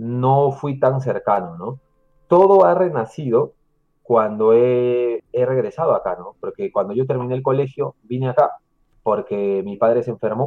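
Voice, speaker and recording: With an ordinary speaking voice, a man talks at a fairly slow pace at medium pitch, his intonation lively and his loudness swinging widely. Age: 30s. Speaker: YouTuber living in Japan. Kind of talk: casual chat.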